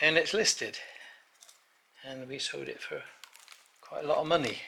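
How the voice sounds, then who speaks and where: A man speaks with an English accent at a moderate pace. Room echo is audible. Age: 80s+. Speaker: chateau owner. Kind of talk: casual chat. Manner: halting.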